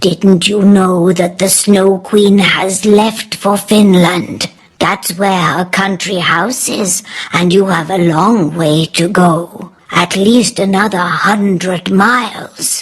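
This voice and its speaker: Using a put-on character voice, a woman speaks at medium pitch and a very slow pace. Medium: read story. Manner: warm, motherly.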